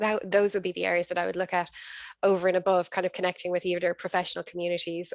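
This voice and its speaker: A woman with an Irish accent speaks very fast in a dry, close sound with no echo and a quiet background. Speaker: business executive, workshop speaker. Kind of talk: online workshop talk. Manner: intense.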